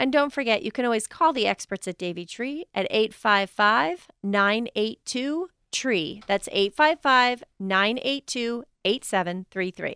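A woman speaks at a fairly slow pace with hardly any pauses, her fairly high voice bright and sharp, her intonation lively, and the sound dry and close with no echo. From eastern Pennsylvania. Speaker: radio gardening co-host. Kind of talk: casual radio call-in chat. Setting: radio studio. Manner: animated.

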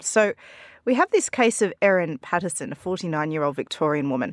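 A woman with a fairly low voice speaks in an Australian accent. The sound is dry and close with no echo, in a very clean recording with a silent background. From rural Australia. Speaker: journalist. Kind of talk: news discussion. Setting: studio.

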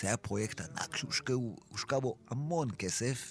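In an ordinary speaking voice, a man talks at medium pitch, his pitch shifting in an ordinary way. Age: 60s. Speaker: songwriter. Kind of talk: interview. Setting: studio.

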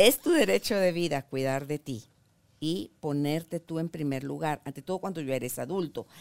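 A woman with a very deep, low voice speaks at a moderate pace with lively intonation, the sound dry and close with no echo. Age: 60s. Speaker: talk show host. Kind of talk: interview. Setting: studio.

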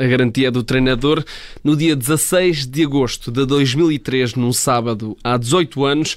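This man has an ordinary speaking voice, fairly high in pitch, with fairly even intonation. The recording is very clean, with a silent background. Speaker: sports journalist. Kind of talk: radio sports segment.

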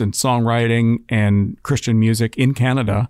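A man at a moderate pace and medium pitch with fairly even intonation, on a very clean recording with a silent background. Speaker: radio music director and morning host, podcast co-host. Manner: playful, jokey.

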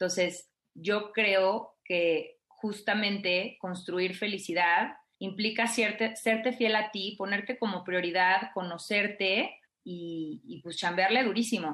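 A woman's bright, sharp voice at a medium pitch, very slow in pace, in a Mexican accent. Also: fairly even intonation. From Mexico (provincial). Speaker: life coach / happiness student. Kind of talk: radio interview.

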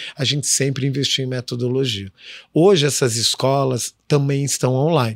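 The sound is dry and close with no echo. A man uses an ordinary speaking voice at a moderate pace, medium pitch and fairly even intonation. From southern Brazil, Curitiba. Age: 40s. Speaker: chef and social entrepreneur. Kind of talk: interview.

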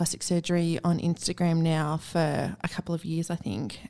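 Moderate pace, with an Australian accent. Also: woman, very clean recording, silent background. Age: 40s. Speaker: podcast host. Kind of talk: casual interview chat. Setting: podcast studio.

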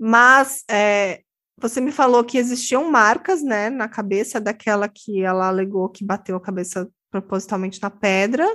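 A woman's bright, sharp voice at a fairly high pitch, moderate pace and ordinary pitch variation, over a quiet background. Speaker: true crime podcast host. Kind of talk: casual chat.

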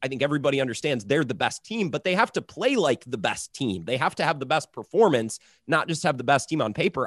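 A man with an American accent speaks very fast, his pitch swinging very widely, with vocal fry. The sound is dry and close, with no echo. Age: 20s. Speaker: sports radio host. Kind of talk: sports talk panel.

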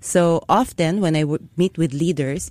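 This woman's voice sits fairly low in pitch, with a dark, mellow tone. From Philippines. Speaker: storytelling event host and consultant. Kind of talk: radio interview. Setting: studio.

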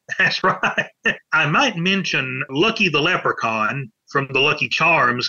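With a Southern US accent, a man talks at a fairly slow pace. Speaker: pop culture author. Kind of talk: interview.

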